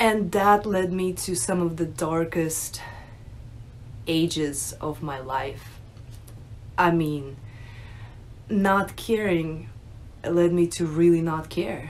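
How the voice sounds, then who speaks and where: A woman talks at a very slow pace, with long, frequent pauses. Her pitch is fairly low, with ordinary pitch variation. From Russia, moved to US at nine. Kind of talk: personal testimony, unscripted. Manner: hesitant, many fillers. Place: home room. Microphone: phone near.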